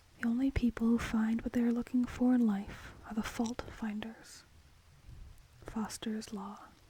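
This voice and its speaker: A soft-spoken woman talks at a fairly high pitch and a fairly slow pace, with monotone, flat intonation. Background noise is noticeable. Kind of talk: ASMR quote reading.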